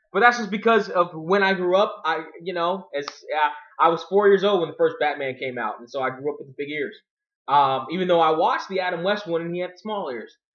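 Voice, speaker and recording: Talking at a fairly quick pace, a man uses a high voice. His loudness swings widely. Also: ordinary pitch variation, quiet background. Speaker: video blogger. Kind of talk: casual commentary. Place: home room. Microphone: webcam.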